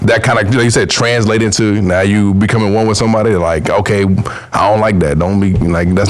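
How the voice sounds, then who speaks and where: A fairly low-pitched man amid noticeable background noise and audible room echo. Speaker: podcast guest. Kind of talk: casual chat. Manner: loud when passionate; animated.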